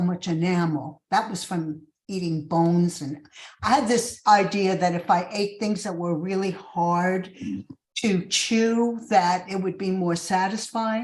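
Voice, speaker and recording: A woman with a New York accent speaks at a fairly slow pace in a somewhat breathy voice. Her pitch is medium with ordinary variation. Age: 70s. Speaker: recovery fellowship speaker. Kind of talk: testimony.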